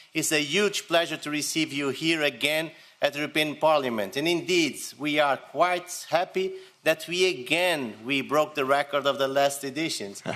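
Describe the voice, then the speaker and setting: With a Portuguese accent, a man speaks in a fairly high voice with a bright, sharp tone and ordinary pitch variation. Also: moderate pace. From Portugal. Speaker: politician. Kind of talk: welcome speech.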